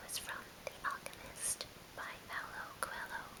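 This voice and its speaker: A whisper over noticeable background noise. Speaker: ASMR whisperer. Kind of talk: casual talk to camera. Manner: whispered.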